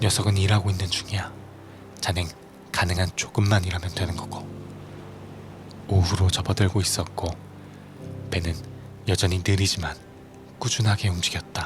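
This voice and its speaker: Music plays in the background as a man with a very deep, low voice speaks at a moderate pace in a monotone, flat intonation, leaving long, frequent pauses. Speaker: audiobook narrator and musician. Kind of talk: audiobook reading, sleep-aid narration.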